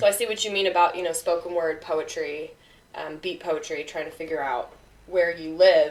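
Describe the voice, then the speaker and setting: A woman's fairly low-pitched voice, a plain, everyday voice, with fairly even intonation, moderate pace and big swings in loudness. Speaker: podcast host. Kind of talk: interview conversation.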